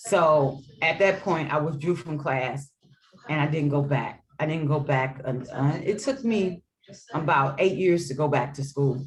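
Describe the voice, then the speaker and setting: Her voice very deep and low, a woman speaks at a moderate pace with ordinary pitch variation and a somewhat breathy quality. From US Midwest, St. Louis. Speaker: educator and author. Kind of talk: interview.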